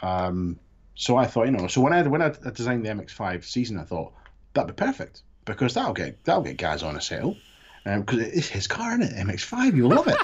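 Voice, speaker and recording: A man talks at a fairly quick pace, his voice dropping into vocal fry. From Scotland, east coast (Fife). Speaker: podcast host, army veteran. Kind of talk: casual chat. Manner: soft-spoken; hesitant, repeats words.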